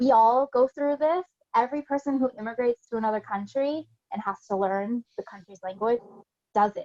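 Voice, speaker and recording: Speaking with an American accent, a woman with a high pitch moves at a fairly quick pace and ordinary pitch variation, in a dry, close sound with no echo. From US Pacific Northwest, Olympia, Washington. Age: 30s. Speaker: blogger and expat. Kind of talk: interview. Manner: casual, animated.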